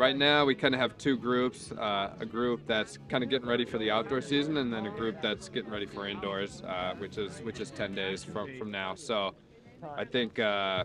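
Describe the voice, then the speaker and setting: Music plays behind a man speaking at a moderate pace. The sound is dry, with no echo. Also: ordinary pitch variation. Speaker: running coach. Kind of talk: interview answer. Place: open country.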